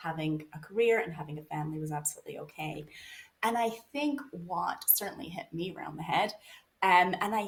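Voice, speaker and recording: A fairly low, somewhat breathy woman's voice at a moderate pace, with ordinary pitch variation. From Canada. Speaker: author and researcher. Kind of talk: podcast interview.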